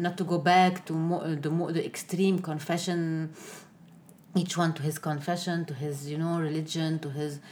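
A woman with an Arabic accent speaks at a moderate pace in a fairly low voice, keeping her intonation fairly even. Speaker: newspaper editor and former politician. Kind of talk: interview. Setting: office. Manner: halting.

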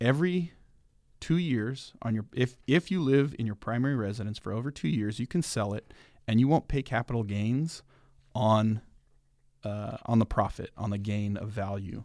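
A man with an unremarkable speaking voice talks at a moderate pace, medium in pitch with ordinary variation. The recording is very clean, the background silent. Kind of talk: casual radio interview, friendly chat.

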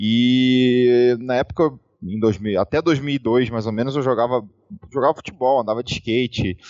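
A man speaks fairly slowly in an unremarkable speaking voice, medium in pitch with ordinary pitch variation. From Rio de Janeiro, Brazil. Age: 30s. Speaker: esports player turned streamer. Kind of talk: casual interview chat.

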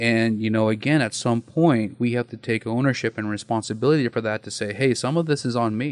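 In a normal speaking voice, a man talks at a fairly quick pace with hardly any pauses and fairly even intonation, the sound dry and close with no echo against a quiet background. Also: medium pitch for a man. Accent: American. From eastern Oregon, US. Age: 40s. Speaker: domestic violence counselor. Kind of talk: interview conversation. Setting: studio.

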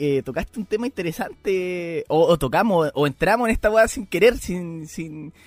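Lively intonation from a man with a Chilean accent and a high pitch, at a moderate pace, with a dry, close sound with no echo and noticeable background noise. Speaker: podcast co-host. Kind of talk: casual chat. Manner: halting, repeats words.

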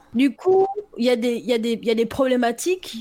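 A woman speaks at a fairly slow pace in a fairly high pitch. Noticeable background noise is present. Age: 30s. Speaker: author and entrepreneur. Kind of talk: casual interview.

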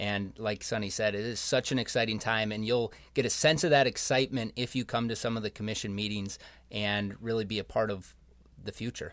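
This man has an ordinary speaking voice, fairly low in pitch with fairly even intonation, captured on a very clean recording with a silent background. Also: fairly quick pace. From Rochester, Minnesota. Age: 20s. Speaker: young professionals group member. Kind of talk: podcast interview.

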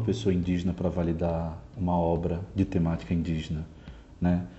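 This man speaks at a moderate pace in a very deep, low voice that is somewhat breathy. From Brazil, Natal, Rio Grande do Norte. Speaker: artist and performer. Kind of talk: interview.

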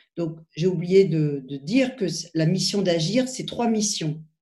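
Her tone is dark and mellow, somewhat breathy, and the woman's pitch varies in an ordinary way. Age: 50s. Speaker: cardiology professor. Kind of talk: interview.

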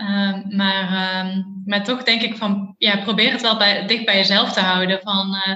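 Against noticeable background noise, a woman speaks in a monotone, flat intonation. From Eindhoven, Netherlands. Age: 30s. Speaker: behavioural scientist. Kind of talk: casual interview. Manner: hesitant, many fillers.

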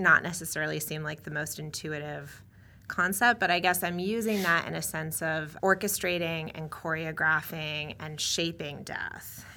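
A woman with a fairly low pitch and a bright, sharp tone speaks at a fairly slow pace with fairly even intonation. Her loudness swings widely on a very clean recording with a silent background. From New England. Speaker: medical anthropologist, professor. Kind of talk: interview.

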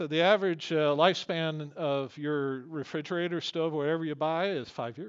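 An ordinary speaking voice from a man, fairly even intonation and hardly any pauses. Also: fairly high pitch for a man, moderate pace. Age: 60s. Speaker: pastor. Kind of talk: sermon.

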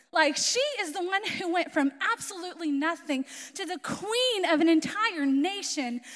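With an American accent, a woman speaks at a moderate pace in an extremely high pitch, her intonation lively amid noticeable background noise. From Florida, US. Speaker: missionary. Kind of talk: sermon. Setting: church with audience.

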